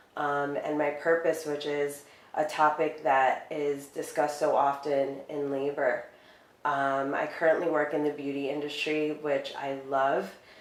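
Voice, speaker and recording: Amid noticeable background noise and audible room echo, a woman with an American accent speaks at a very deep, low pitch in a monotone, flat intonation. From United States, Dominican family. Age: 30s. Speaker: beauty industry worker. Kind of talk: interview. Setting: living room.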